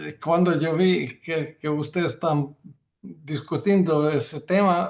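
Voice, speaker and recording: This man speaks at a very slow pace with fairly high pitch and fairly even intonation. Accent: non-native. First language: not Spanish (speaking Spanish). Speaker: surgeon. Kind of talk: panel discussion. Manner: halting, many fillers and restarts.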